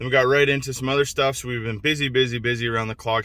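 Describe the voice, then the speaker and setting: A man's voice has a bright, sharp tone. His pitch is medium, and his intonation is fairly even. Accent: southern Ontario. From southwestern Ontario, Canada. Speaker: truck rebuild vlogger. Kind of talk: casual vlog talk to camera.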